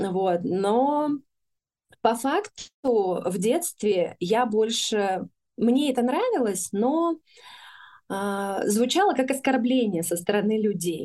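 A woman with a fairly high pitch talks at a very slow pace, leaving long, frequent pauses. Her intonation is lively, her tone dark and mellow, and the background is quiet. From Russia, Urals (Chelyabinsk region). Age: 30s. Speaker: women's community founder. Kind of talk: interview.

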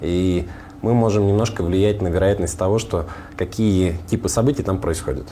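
Very deep and low, a man's voice has a dark, mellow tone, very even loudness and ordinary pitch variation, with audible room echo. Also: moderate pace. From Russian Far North, Komi (Vorkuta area). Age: 30s. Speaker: tech startup founder. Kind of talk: casual interview.

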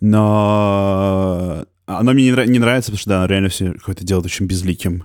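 A man's fairly low-pitched, unremarkable speaking voice on a very clean recording with a silent background, at a moderate pace with fairly even intonation and hardly any pauses. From Moscow. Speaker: podcaster. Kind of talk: casual conversation.

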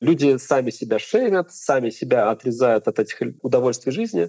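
At a moderate pace, a man speaks in a medium pitch with ordinary pitch variation and a dark, mellow tone, the sound dry and close with no echo. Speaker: geriatrician doctor. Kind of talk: expert interview.

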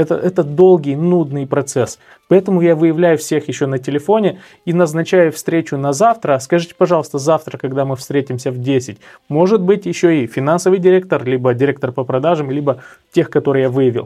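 A man with a dark, mellow tone talks at a fairly quick pace, his fairly high pitch showing ordinary variation. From Moldova, Cahul. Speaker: sales trainer. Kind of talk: interview.

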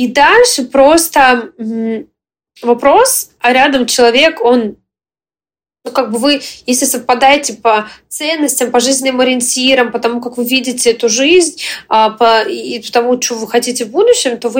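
At a moderate pace, a woman with a high pitch talks with long, frequent pauses. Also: ordinary pitch variation. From Western Ukraine. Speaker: entrepreneur and blogger. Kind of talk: interview. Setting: video call. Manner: energetic.

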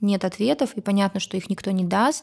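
At a moderate pace, a woman speaks in a medium pitch with a somewhat breathy voice. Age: 30s. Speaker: pediatric doctor and mother of four. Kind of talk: casual chat.

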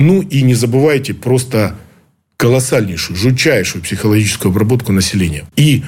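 At a moderate pace and medium pitch, a man talks in a somewhat breathy voice. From Ukraine. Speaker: former intelligence officer. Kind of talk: interview. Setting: studio.

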